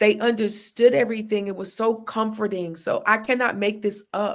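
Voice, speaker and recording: In a very clean recording with a silent background, a woman with a fairly high pitch talks at a moderate pace in an animated tone. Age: 50s. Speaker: social worker and spiritual circle leader. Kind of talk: casual chat.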